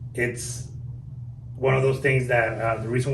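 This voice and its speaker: Over audible room echo, a man with a Guatemalan accent speaks at a moderate pace and medium pitch, somewhat breathy and in a flat monotone. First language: Spanish. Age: 30s. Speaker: car dealership manager. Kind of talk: podcast interview.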